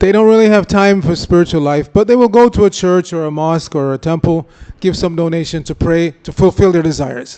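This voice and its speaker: A man talks at a fairly quick pace in a high voice. His pitch moves in an ordinary way. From Jamaica. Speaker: religious lecturer. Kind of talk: lecture.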